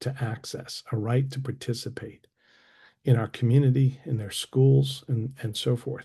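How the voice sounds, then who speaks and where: Against a quiet background, a man with a dark, mellow, somewhat breathy tone speaks at a moderate pace and medium pitch with fairly even intonation. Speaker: assistive technology consultant. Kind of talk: presentation.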